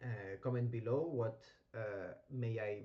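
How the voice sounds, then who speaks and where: A man speaks at a medium pitch in a dark, mellow tone. He is somewhat breathy and goes at a fairly slow pace. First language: not English (English is third language). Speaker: gaming streamer. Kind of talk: gameplay commentary livestream. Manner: hesitant, many fillers.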